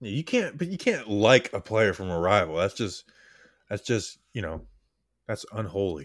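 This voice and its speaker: An ordinary speaking voice with lively intonation moves at a moderate pace in a very clean recording with a silent background. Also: man, fairly low pitch for a man. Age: 20s. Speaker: sports podcast host. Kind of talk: casual chat.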